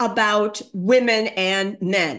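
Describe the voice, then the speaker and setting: A woman with an American accent. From USA. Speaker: former women's studies professor. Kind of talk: lecture.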